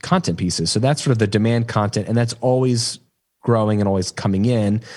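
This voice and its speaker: A plain, everyday voice talks at a fairly quick pace in a very clean recording with a silent background. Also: man. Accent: American. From moved around as an Army child, no fixed region. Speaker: business coach and podcaster. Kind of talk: interview.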